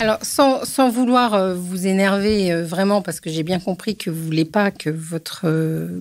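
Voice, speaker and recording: The voice moves at a fairly slow pace with hardly any pauses and ordinary pitch variation. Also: woman, medium pitch for a woman. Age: 60s. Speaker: psychoanalyst and author. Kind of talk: podcast interview. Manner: animated.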